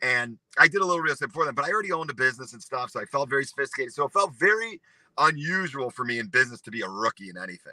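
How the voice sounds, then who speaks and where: In a Chicago accent, a man talks at a very fast pace and fairly high pitch in an animated, bright and sharp tone, with very wide pitch swings, big swings in loudness, and a dry, close sound with no echo. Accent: Chicago-area American. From US Midwest, north of Chicago. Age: 40s. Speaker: real estate broker. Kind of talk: interview. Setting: live video stream.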